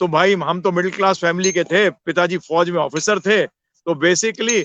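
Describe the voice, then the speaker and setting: The man has a high pitch. He speaks at a moderate pace. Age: 60s. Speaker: spiritual teacher. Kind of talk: interview. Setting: live video stream.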